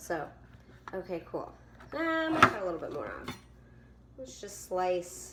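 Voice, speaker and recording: A woman's voice swings very widely in pitch. Background noise is noticeable. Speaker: cooking video host. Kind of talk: casual how-to talk to camera.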